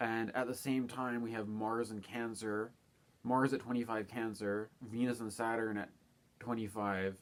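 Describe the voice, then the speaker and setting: A quiet man with a monotone, flat delivery. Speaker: astrologer. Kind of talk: casual monologue. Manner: quiet, keeping voice down.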